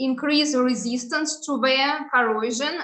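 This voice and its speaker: A woman with a Russian accent, high-pitched with a bright, sharp tone, at a fairly slow pace, with ordinary pitch variation and audible room echo. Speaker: researcher. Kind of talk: conference presentation. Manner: halting, frequent filler sounds.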